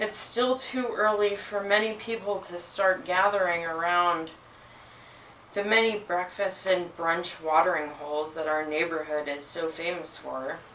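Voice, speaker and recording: With audible room echo around her, a woman speaks at a fairly slow pace in a fairly low pitch with ordinary pitch variation. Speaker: bookshop owner reading at open mic. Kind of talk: reading aloud.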